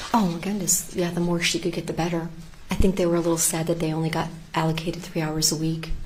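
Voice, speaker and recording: A soft-spoken woman with a fairly low pitch and monotone, flat intonation at a very fast pace, amid noticeable background noise and audible room echo. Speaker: teacher, trial witness. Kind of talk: court testimony. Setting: courtroom. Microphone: hard to hear, too quiet.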